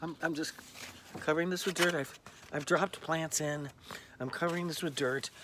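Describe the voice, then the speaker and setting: A man's fairly high voice at a moderate pace, fairly even in intonation, over noticeable background noise. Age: old. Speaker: vlogger. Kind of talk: casual vlog monologue. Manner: hesitant, many fillers.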